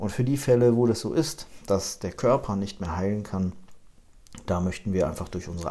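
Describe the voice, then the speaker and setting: Over a very clean recording with a silent background, a man speaks at a moderate pace in a dark, mellow tone, very deep and low in pitch, with ordinary pitch variation. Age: 30s. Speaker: insurance agency manager and podcast host. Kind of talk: podcast monologue, promotional.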